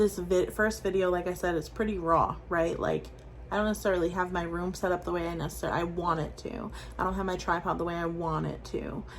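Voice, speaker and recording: A woman with an American accent speaks at a fairly quick pace. Audible room echo surrounds her voice. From US Northeast, Rhode Island. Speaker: weight-loss vlogger. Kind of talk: casual vlog. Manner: animated; filler-heavy.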